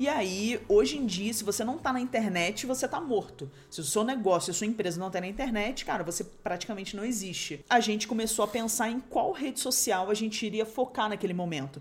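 A woman talks fairly quickly with hardly any pauses. Her fairly high, somewhat breathy voice has lively intonation. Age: 30s. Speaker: business co-founder and podcast co-host. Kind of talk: casual chat.

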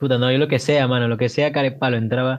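Speaking fairly quickly, a man uses an ordinary speaking voice with medium pitch and ordinary pitch variation. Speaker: student, podcast co-host. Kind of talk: casual chat.

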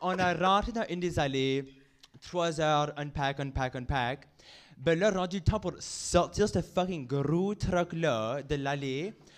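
A man's fairly high voice, with ordinary pitch variation, unfolds at a very slow pace. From Acadia, New Brunswick. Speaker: drag queen. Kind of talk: casual chat. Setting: stage with audience.

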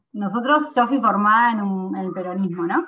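Pitched in the middle range, this woman has an ordinary speaking voice and ordinary pitch variation. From Argentina, San Miguel (Buenos Aires province). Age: 20s. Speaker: provincial legislator. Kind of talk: interview.

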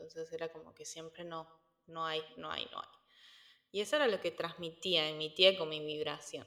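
With a Cordoban Argentine accent, a woman speaks in a monotone, flat intonation. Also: fairly low pitch for a woman, moderate pace, big swings in loudness. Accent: Argentine Spanish, Córdoba. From Argentina, Córdoba. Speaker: entrepreneur, nutrition coach. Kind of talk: interview conversation. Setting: remote call. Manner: halting, many repetitions.

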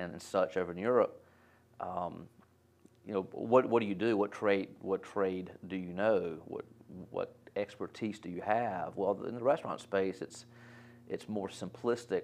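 In an American accent, a man with an unremarkable speaking voice talks fairly low and at a fairly slow pace with ordinary pitch variation. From North Carolina, Winston-Salem. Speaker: restaurant franchise executive. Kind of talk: casual interview.

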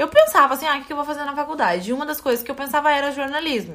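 A very fast-paced woman's voice amid noticeable background noise. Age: 20s. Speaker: podcast co-host, fashion content creator. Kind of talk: casual chat.

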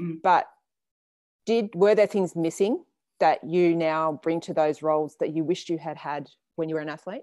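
A woman with a fairly low pitch and a dark, mellow tone speaks with long, frequent pauses. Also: ordinary pitch variation, moderate pace. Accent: Australian. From Australia, Canberra. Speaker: podcast host, surf coach. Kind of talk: interview.

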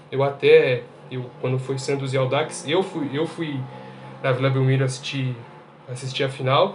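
Flat, monotone speech broken by long, frequent pauses, with audible room echo and noticeable background noise. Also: man, medium pitch for a man, moderate pace. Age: 20s. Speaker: podcast panelist, engineering student. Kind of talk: casual chat.

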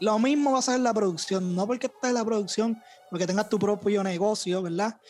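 This man's pitch is high, with ordinary variation. He talks at a fairly quick pace with very even loudness. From Puerto Rico, Bayamón area. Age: young. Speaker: music producer and youtuber. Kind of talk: casual chat.

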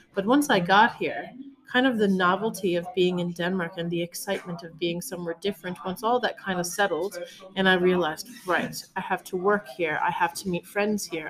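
A woman's medium-pitched voice with a Newfoundland accent, fairly quick pace, ordinary pitch variation and noticeable background noise. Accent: Newfoundland Canadian English. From Newfoundland and Labrador, Canada. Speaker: art studio founder and former chef. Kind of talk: casual interview.

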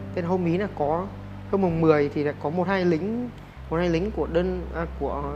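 A man speaks with noticeable background noise. Audible room echo is present too. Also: moderate pace. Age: 20s. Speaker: conscript soldier. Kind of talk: casual solo podcast monologue.

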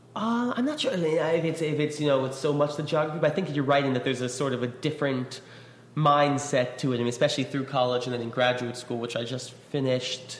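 With noticeable background noise behind him, a man with an American accent talks at a very fast pace in a fairly high pitch with fairly even intonation. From New York. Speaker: lyricist. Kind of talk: casual interview.

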